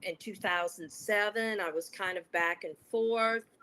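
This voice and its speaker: In an ordinary speaking voice, a woman with an American accent talks fairly slowly at a fairly high pitch. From United States. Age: 60s. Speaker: psychotherapist. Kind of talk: webinar interview.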